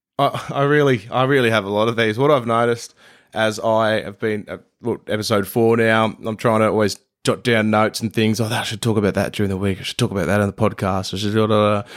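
A man with an Australian accent, fairly low in pitch and fairly quick in pace, in a very clean recording with a silent background. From Brisbane, Australia. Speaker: podcast host. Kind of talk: scripted narration; casual chat. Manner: animated.

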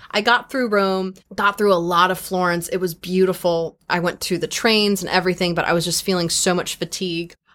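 In an American accent, a woman talks at a fairly quick pace with medium pitch and an animated tone. Her recording is very clean, against a silent background. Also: hardly any pauses. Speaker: podcast host and entertainer. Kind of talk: casual chat. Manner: animated, laughs often.

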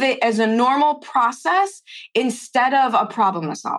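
Her tone fairly bright, a woman speaks at a high pitch and a moderate pace.

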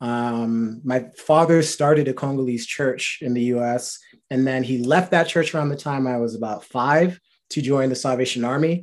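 An ordinary speaking voice with an American accent, fairly even intonation and a moderate pace. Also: man, medium pitch for a man. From New Rochelle, New York, US. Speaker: HR worker. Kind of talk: casual faith testimony chat.

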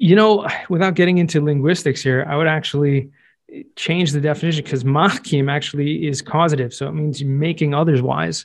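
Someone with a Californian accent speaks at a fairly quick pace with fairly even intonation. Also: man, fairly high pitch for a man. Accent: American, Californian. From Southern California. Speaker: real estate tax expert and podcaster. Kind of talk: interview conversation.

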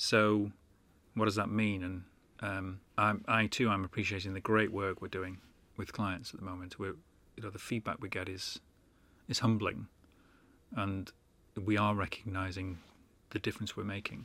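Delivered at a moderate pace with long, frequent pauses, the speech has a bright, sharp tone and flat, monotone intonation. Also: man, fairly low pitch for a man. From northern England, Manchester. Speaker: podcast co-host, consultant. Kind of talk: casual chat.

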